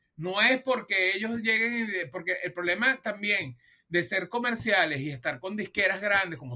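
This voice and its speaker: In a raised, projected voice, a man with a Venezuelan accent speaks with a high pitch, a bright, sharp tone and very wide pitch swings. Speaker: music podcast co-host. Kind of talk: casual chat.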